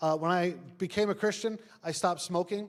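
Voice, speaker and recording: Speaking at a fairly quick pace with a New York accent, a man uses a high voice and ordinary pitch variation. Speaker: pastor. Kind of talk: sermon. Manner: casual, conversational with fillers.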